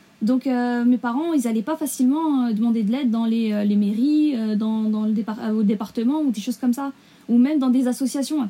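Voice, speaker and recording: A woman's high-pitched voice at a fairly quick pace with ordinary pitch variation, over noticeable background noise. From Essonne, Paris region, France. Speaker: law graduate. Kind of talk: interview.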